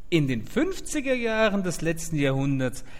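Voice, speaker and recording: With audible room echo around him, a man speaks at a fairly slow pace. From Mainz, Germany. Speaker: podcast host. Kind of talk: scripted narration.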